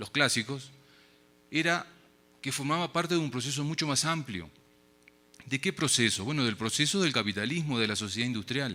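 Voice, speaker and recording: With a Uruguayan accent, a man speaks at a moderate pace and medium pitch, bright and sharp in tone, his intonation lively and broken by long, frequent pauses, in a very clean recording with a silent background. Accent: Uruguayan Spanish, noticeable abroad. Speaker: academic speaker at a forum. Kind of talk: conference lecture. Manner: casual filler words (eh, este).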